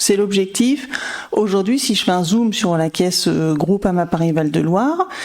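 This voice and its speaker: Woman at a fairly slow pace with medium pitch, lively intonation and noticeable background noise. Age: 40s. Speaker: insurance manager. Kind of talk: interview.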